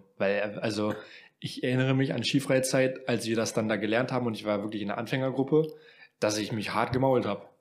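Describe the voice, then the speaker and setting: A man with a normal speaking voice talks at a fairly quick pace, his medium pitch held in a fairly even intonation. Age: 20s. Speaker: podcast co-host. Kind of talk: casual chat.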